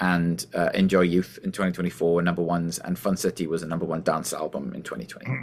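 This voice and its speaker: This man speaks at a very fast pace in a very deep, low pitch, with hardly any pauses. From Wales. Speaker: singer and musician. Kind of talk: interview. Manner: clear; animated.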